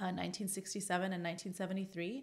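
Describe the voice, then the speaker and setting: In a Californian accent, a woman's voice sits at a medium pitch with monotone, flat intonation. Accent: General American, Californian. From US West Coast, Los Angeles. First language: Arabic. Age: 40s. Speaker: epidemiologist and science communicator. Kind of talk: podcast interview. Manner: many fillers (um, uh).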